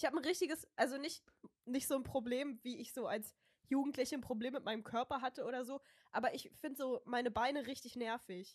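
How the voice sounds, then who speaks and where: Speaking at a fairly quick pace, a woman has a high pitch and ordinary pitch variation. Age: 20s. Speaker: podcast co-host. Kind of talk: casual chat.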